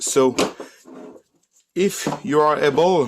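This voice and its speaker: This voice carries a French accent. The intonation is lively. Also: man. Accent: non-native English, French. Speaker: DIY car repair YouTuber. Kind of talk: tutorial. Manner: halting, with many fillers.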